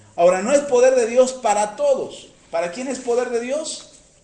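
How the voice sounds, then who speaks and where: Extremely high pitch from a man, with audible room echo and noticeable background noise. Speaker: preacher. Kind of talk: sermon. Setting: radio broadcast.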